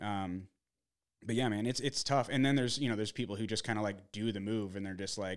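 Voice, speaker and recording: With an American accent and a plain, everyday voice, a man talks at a fairly quick pace and a fairly low pitch, with ordinary pitch variation, on a very clean recording with a silent background. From Arizona, US. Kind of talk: casual chat. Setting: home studio.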